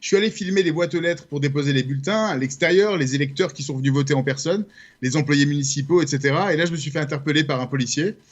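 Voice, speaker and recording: A somewhat breathy man with a French accent, very fast pace and ordinary pitch variation. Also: fairly high pitch for a man. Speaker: journalist and documentary maker. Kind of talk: radio interview.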